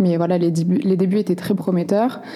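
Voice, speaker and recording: The voice belongs to a woman. Background noise is noticeable throughout. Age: 20s. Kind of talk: interview.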